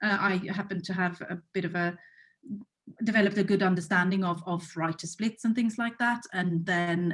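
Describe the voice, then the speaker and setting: With a Swedish accent, a woman talks at a moderate pace in a somewhat breathy voice. Her intonation stays fairly even. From Sweden. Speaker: music rights executive. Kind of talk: panel discussion.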